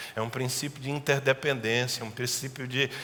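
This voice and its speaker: This is a man with a normal speaking voice. His pitch is medium, with ordinary pitch variation. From Brazil, Northeast. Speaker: pastor. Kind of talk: sermon.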